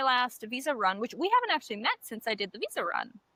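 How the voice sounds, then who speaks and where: A woman speaks loudly in a confident tone. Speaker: podcast co-host. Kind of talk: casual chat. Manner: confident and loud.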